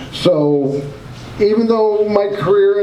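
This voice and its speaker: Noticeable background noise and audible echo from the room surround a man as he talks. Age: 50s. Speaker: independent journalist and show host. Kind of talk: talk to a club audience.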